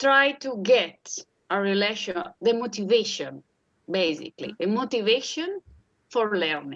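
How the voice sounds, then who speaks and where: A woman speaks fairly slowly in an Italian accent. Her fairly high voice swings very widely in pitch. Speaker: puppeteer, primary school teacher, art therapy doctoral student. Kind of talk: interview answer. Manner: hesitant, disfluent.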